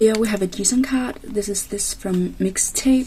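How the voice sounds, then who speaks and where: A woman talks at a very slow pace with a non-native accent. Noticeable background noise runs under her voice. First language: not English. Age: 20s. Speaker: K-pop photocard collector vlogger. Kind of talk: casual vlog. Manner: halting.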